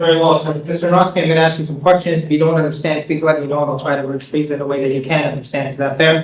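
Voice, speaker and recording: Against noticeable background noise, a man with a fairly high voice talks very fast in a flat monotone with hardly any pauses. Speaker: defense attorney. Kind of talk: courtroom cross-examination. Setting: courtroom.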